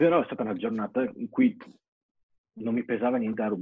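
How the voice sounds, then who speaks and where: In a plain, everyday voice, the speaker goes at a fairly quick pace with ordinary pitch variation. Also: man. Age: 20s. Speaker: BMX athlete. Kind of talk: interview.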